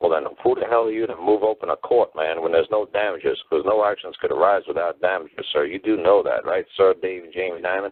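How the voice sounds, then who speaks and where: A man with a New York accent at a very fast pace, hardly any pauses between words. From New York City. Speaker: common-law teacher, call-in show host. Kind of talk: call-in show conversation. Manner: animated.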